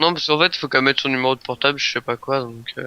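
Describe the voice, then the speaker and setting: A man speaks at a very fast pace and a medium pitch, with fairly even intonation. His tone is bright and sharp, and the sound is dry and close with no echo. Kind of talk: casual, conversational.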